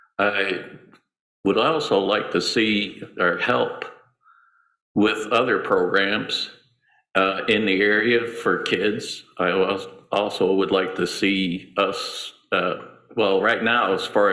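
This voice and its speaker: A man at a very slow pace with very even loudness, amid audible room echo. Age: 70s. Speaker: city commission candidate. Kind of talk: candidate forum opening statement.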